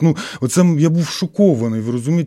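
Talking at a fairly quick pace, a man has a fairly high pitch with ordinary pitch variation. His tone is dark and mellow. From Ukraine, Khmelnytskyi oblast. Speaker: artist. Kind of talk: radio interview. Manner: emotional, animated.

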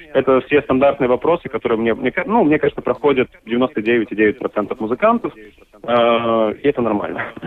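Amid noticeable background noise, a man keeps a very even loudness, talking at a moderate pace and medium pitch with ordinary pitch variation. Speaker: marketing specialist and musician. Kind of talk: radio interview. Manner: halting.

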